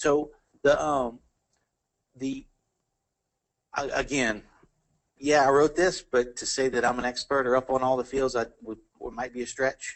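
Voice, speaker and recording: A man with an American accent speaks with fairly even intonation and long, frequent pauses. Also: medium pitch for a man. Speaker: engineer and technical presenter. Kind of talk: technical talk Q&A and closing remarks. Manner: fast; halting, many fillers and repeats.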